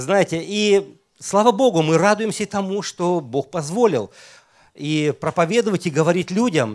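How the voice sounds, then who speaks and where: A man's voice with very wide pitch swings at a moderate pace, on a very clean recording with a silent background. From Estonia. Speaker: pastor. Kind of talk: sermon.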